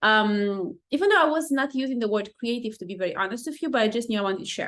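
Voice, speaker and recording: A woman speaks very fast with a non-native accent, her fairly high pitch rising and falling in lively intonation. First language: not English. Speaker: life coach, podcast host. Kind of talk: casual podcast monologue.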